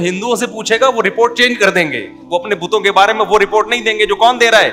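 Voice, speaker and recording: A man speaks in a high-pitched voice. Music plays in the background. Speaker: Islamic scholar. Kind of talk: religious sermon.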